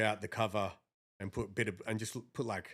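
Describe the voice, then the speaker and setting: A man with fairly even intonation on a very clean recording with a silent background. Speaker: rapper. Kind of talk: podcast interview. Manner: casual.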